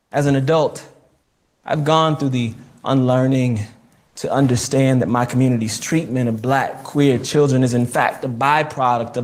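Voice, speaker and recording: Speaking at a moderate pace, a man with an American accent has a medium-pitched voice. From New Jersey, raised largely by a southern grandmother. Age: 30s. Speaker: author and activist. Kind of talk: reading aloud from own memoir.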